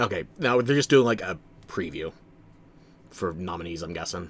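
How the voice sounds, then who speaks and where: A man's fairly slow delivery with very wide pitch swings. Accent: American. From New Jersey, US. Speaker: streamer. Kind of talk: live-stream reaction commentary. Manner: casual, conversational.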